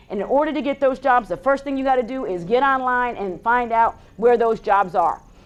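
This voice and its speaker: A woman's fairly high voice in an animated tone at a fairly quick pace. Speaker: public speaker. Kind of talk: motivational speech. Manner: informal, animated.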